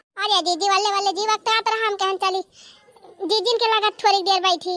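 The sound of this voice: A woman speaks in a cartoonish character voice at an extremely high pitch, fairly quickly and in a flat monotone. Her loudness stays very even, and the sound is dry and close with no echo.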